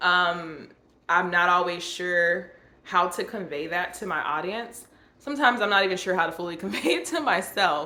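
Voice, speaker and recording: With a bright, sharp tone and audible room echo, a woman talks at a moderate pace in a medium pitch with ordinary pitch variation. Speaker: YouTuber sharing personal reflections. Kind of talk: personal vlog monologue. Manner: halting, with many fillers.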